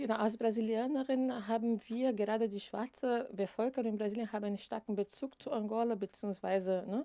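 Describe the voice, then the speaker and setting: A woman with a non-native accent speaks fairly quickly in a dark, mellow tone, her fairly high pitch held to fairly even intonation. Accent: non-native German, speaks with errors. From Brazil, Rio de Janeiro. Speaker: equal opportunities officer. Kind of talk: interview. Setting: studio.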